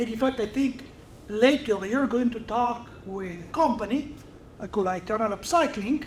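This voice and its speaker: Audible room echo surrounds a man speaking at an extremely high pitch in an Italian accent, at a fairly slow pace with ordinary pitch variation. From Italy. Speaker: research chemist. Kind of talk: lecture.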